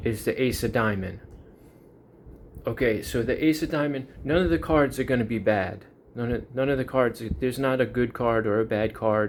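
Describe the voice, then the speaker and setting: This man has a New York accent. His pitch sits in the medium range. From US, Long Island, New York. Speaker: YouTuber. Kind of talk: casual monologue.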